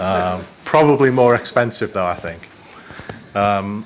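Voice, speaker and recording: A man with a Liverpool accent speaks at a fairly low pitch with ordinary pitch variation, and noticeable background noise is present. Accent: Liverpool (Scouse) English. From Liverpool, northern England. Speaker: business executive. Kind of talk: conference presentation. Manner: halting, many fillers.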